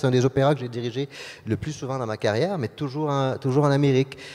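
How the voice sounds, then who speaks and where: A man speaks at a very fast pace in a medium pitch. The recording is very clean, with a silent background. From Quebec. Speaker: orchestra conductor. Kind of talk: interview. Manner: halting, many repetitions and fillers.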